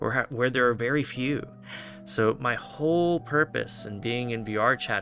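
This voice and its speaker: With music in the background, a man's voice comes through at a medium pitch. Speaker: online minister. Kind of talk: interviewer questions, conversational.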